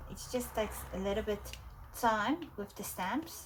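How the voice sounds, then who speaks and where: A woman with a South African accent at a fairly slow pace. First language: Afrikaans. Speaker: art journaling creator. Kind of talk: casual tutorial. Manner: hesitant, many fillers.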